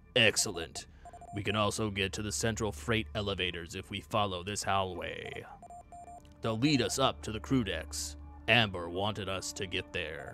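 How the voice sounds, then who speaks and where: This is a put-on character voice. Clear music plays in the background. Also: man, fairly low pitch for a man, moderate pace. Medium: game stream. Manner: calm, practical.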